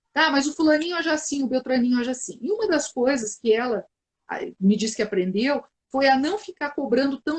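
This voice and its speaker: Lively in intonation, a woman talks at a fairly quick pace with high pitch. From southern Brazil, Porto Alegre. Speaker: psychologist, live stream host. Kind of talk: live stream conversation. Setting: online live video stream.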